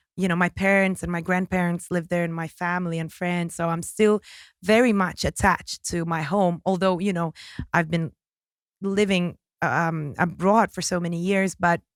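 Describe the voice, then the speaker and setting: Speaking with a slight British accent, a woman uses a fairly low, monotone, flat delivery. The recording is very clean, with a silent background. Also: moderate pace, dry, close sound with no echo. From Kazakhstan. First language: Russian. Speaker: singer. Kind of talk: casual interview. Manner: halting.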